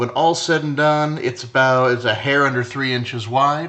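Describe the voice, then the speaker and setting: With ordinary pitch variation, a man talks at a moderate pace. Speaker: design instructor. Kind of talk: tutorial. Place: home room.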